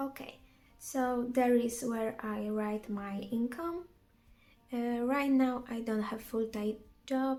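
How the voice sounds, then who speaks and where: A woman's very slow, high-pitched voice with a non-native accent, a dark, mellow tone and fairly even intonation. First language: not English. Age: 20s. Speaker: vlogger. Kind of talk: casual vlog narration. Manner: halting.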